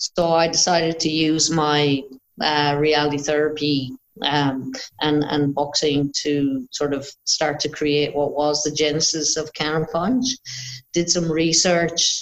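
Fairly slow speech with an Irish accent, fairly even intonation, and very even loudness. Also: woman, very deep, low pitch for a woman. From Ireland. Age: 50s. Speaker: boxing coach and psychologist. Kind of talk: interview.

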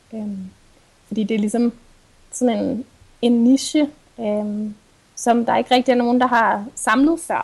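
At a fairly slow pace, a woman with a fairly high pitch and ordinary pitch variation speaks with long, frequent pauses. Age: 20s. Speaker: sustainability blogger and psychology student. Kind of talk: interview.

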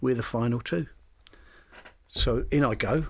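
A man with a London accent talks at a moderate pace on a very clean recording with a silent background. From London, England. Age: 70s. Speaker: retired footballer. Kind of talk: interview.

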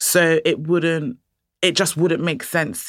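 A woman with a London accent keeps a fairly even intonation. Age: young. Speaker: curator and art educator. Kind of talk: interview. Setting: studio.

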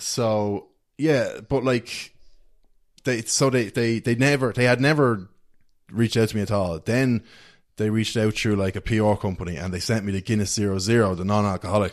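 With an Irish accent, a man speaks at a moderate pace and fairly low pitch, with ordinary pitch variation, over a quiet background. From Ireland, County Meath. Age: 20s. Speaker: social media content creator. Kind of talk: casual chat. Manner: animated.

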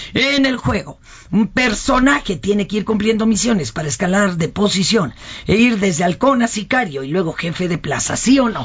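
A woman at a medium pitch talks with lively intonation and a moderate pace, noticeable background noise behind her. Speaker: radio host. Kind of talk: casual chat. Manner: animated.

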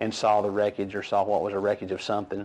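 A man with a Texan accent talks at a very fast pace. His pitch sits fairly low. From North Texas, Wise County. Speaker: local resident. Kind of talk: interview testimony.

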